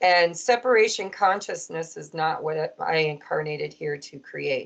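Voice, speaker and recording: Speaking at a moderate pace, a woman uses an ordinary speaking voice with ordinary pitch variation. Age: 50s. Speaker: podcast host and tarot reader. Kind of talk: casual interview chat.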